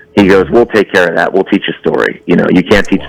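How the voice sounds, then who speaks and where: A man with an American accent speaks at a very fast pace in a very deep, low pitch. The sound is dry and close with no echo, with noticeable background noise. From Massachusetts. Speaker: TV writer, producer and voice actor. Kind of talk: interview answer.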